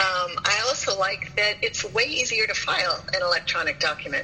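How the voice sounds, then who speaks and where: Music plays in the background as a woman speaks at a moderate pace with very even loudness. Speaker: professional organizer. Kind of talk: interview.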